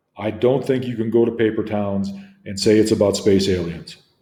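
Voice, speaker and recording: Dark, mellow tone from a man at medium pitch, with fairly even intonation and audible room echo. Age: 60s. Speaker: literature teacher. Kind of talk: lecture. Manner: hesitant, with frequent fillers.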